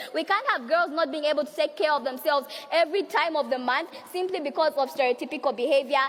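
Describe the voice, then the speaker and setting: Over noticeable background noise, a woman speaks at a very fast pace in a passionate tone, high in pitch, with ordinary pitch variation. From Zambia. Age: young. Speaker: youth and women's rights activist. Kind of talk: conference speech. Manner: passionate, forceful.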